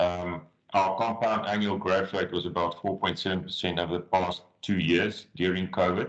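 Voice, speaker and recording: Here a man talks in a South African accent at a fairly low pitch. His pace is moderate. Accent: Afrikaans South African English. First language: Afrikaans. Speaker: agriculture business consultant. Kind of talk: webinar presentation.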